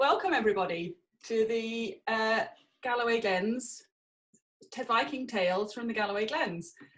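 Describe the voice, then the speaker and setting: A woman at a fairly high pitch and moderate pace, lively in intonation, with long, frequent pauses. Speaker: education and community engagement officer. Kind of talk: event introduction.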